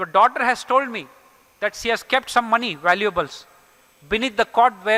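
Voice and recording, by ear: The speaker reads aloud in a natural voice. The intonation stays fairly even.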